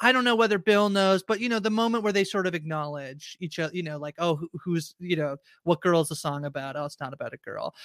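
A raised, projected voice with lively intonation and a bright, sharp tone, recorded very cleanly against a silent background with a dry, close sound and no echo. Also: man. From Canada. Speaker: podcast host. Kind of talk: casual chat.

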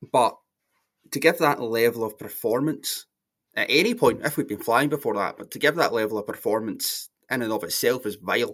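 Fairly quick and medium-pitched, a man talks with a Scottish accent and ordinary pitch variation on a very clean recording with a silent background. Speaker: football podcast panelist. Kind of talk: casual chat.

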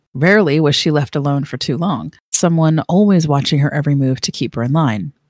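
A woman with a very deep, low pitch speaks at a fairly quick pace and uses ordinary pitch variation. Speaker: podcast host. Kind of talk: true-crime narration. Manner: measured, storytelling cadence.

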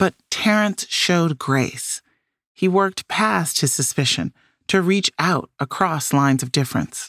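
A woman with an American accent and a normal speaking voice talks at a fairly slow pace, her pitch fairly low and her intonation lively. The sound is dry and close with no echo, on a very clean recording with a silent background. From US Midwest, Chicago. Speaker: podcast host. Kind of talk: scripted narration.

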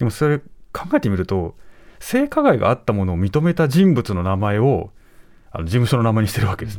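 The pace is fairly quick. A man's voice moves through very wide pitch swings. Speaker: professor and journalist. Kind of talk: news commentary. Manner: measured, conversational.

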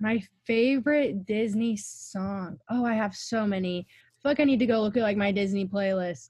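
Her voice somewhat breathy, a woman keeps a moderate pace with hardly any pauses, a medium pitch, ordinary pitch variation and big swings in loudness. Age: young. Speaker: former theme park parking worker. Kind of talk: casual chat. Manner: animated.

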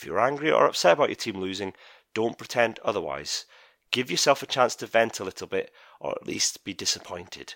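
Talking at a fairly quick pace with big swings in loudness, a man is heard on a very clean recording with a silent background. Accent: Scottish. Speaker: podcast host. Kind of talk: casual chat. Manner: animated.

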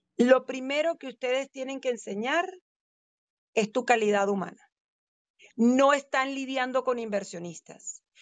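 Long, frequent pauses break up speech with ordinary pitch variation, heard in a dry, close sound with no echo. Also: woman, high pitch for a woman. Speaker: title company representative. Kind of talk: expert advice in interview. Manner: animated.

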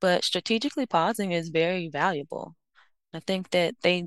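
In a dry, close recording with no echo and a quiet background, a woman with an ordinary speaking voice talks at a moderate pace, fairly low in pitch, with ordinary pitch variation. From Miami, Florida. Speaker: organizational psychologist. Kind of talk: interview.

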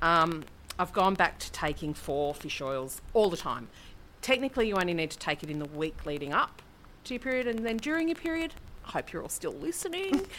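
This woman speaks with an Australian accent at a fairly quick pace. Her pitch swings very widely. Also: medium pitch for a woman. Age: 40s. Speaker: podcast co-host. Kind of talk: casual chat.

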